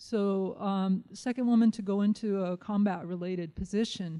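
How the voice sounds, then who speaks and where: Speaking at a moderate pace with a Lakota accent, a woman uses a medium-pitched voice of dark, mellow tone and ordinary pitch variation. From Nebraska, near Pine Ridge Reservation. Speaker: professor. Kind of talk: lecture. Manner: frequent fillers (um, uh).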